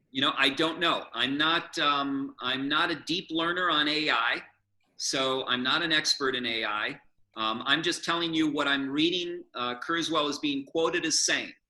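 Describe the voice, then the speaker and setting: A man's bright, sharp voice at a fairly high pitch, a moderate pace and fairly even intonation. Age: 60s. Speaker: public speaker and author. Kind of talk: presentation and Q&A. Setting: video call.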